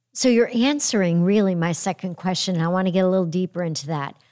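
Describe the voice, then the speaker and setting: A woman speaks in a plain, everyday voice with an American accent and a medium pitch, at a fairly quick pace. Her pitch varies in an ordinary way, and the recording is very clean with a silent background. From upstate New York. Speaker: podcast host. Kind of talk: interview.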